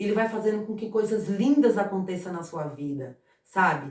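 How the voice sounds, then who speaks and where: Her pitch sits fairly high for a woman, and her intonation is lively. She moves at a moderate pace. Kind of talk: informal Bible talk to camera. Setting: at home. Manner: halting, repeats words.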